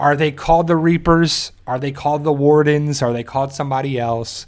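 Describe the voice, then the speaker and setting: A man with a New Jersey accent and a fairly high pitch speaks in an animated tone at a moderate pace with ordinary pitch variation, on a very clean recording with a silent background. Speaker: YouTube fan show host. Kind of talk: live stream fan discussion. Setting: live stream. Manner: halting.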